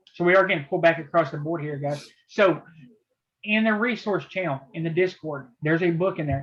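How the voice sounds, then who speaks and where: A man with a Southern US accent talks at a moderate pace. His pitch is high, with ordinary variation. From US South, southeast Tennessee near Chattanooga. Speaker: trading teacher running a chat room. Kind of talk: casual live trading video chat. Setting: video call.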